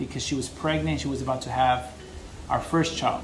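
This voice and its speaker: A man talks at a fairly quick pace. Audible echo from the room surrounds his voice. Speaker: business consultant and vlogger. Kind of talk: personal story monologue to camera. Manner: fast.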